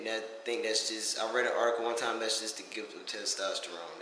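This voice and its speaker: With noticeable background noise and audible room echo, a man speaks with an American accent. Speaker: vlogger. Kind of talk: casual vlog update. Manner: animated.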